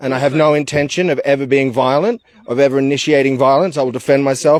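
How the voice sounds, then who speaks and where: Talking very fast in an Australian accent, a man uses ordinary pitch variation. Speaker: activist. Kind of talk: casual chat. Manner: loud; halting.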